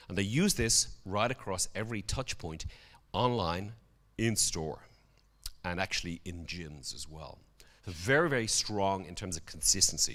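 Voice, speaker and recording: In a Dublin accent, a man with a fairly low pitch talks at a fairly slow pace, animated in tone and lively in intonation, with big swings in loudness and long, frequent pauses, on a very clean recording with a silent background. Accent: Irish (Dublin). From Ireland, Dublin. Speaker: conference speaker. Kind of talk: conference presentation.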